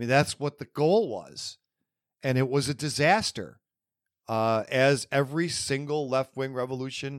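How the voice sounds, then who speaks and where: A man speaks fairly slowly in a plain, everyday voice at a medium pitch. The sound is dry and close, with no echo. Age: 50s. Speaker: political podcast host. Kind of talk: solo commentary monologue. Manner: frequent fillers (um, uh).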